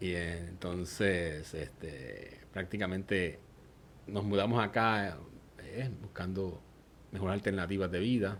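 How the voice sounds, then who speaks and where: This man speaks with a Puerto Rican accent at a very slow pace. His pitch is very deep and low, with ordinary variation. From Puerto Rico, Aguadilla. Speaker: church member giving testimony. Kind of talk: testimony interview.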